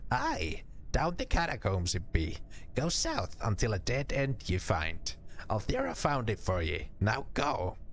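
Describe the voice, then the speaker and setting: Over clear background noise, a man puts on a character voice and talks at a fairly slow pace. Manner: anxious, quiet, strained.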